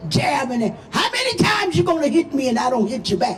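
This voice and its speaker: Speaking at a fairly slow pace, a woman uses a high pitch, very wide pitch swings and an animated tone. Audible room echo and noticeable background noise are present. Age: 80s+. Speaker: activist pastor. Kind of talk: rally speech. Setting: outdoor rally.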